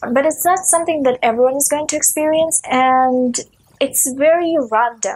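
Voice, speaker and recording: A woman with a Russian accent and a high pitch speaks at a moderate pace with ordinary pitch variation. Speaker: book video creator. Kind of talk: casual vlog talk. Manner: frequent filler uh.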